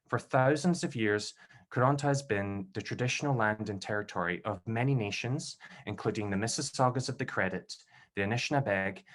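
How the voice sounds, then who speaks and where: This is a man with a Scottish accent. The background is quiet. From Scotland, Glasgow. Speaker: PhD candidate and event host. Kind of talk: event introduction. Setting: video call.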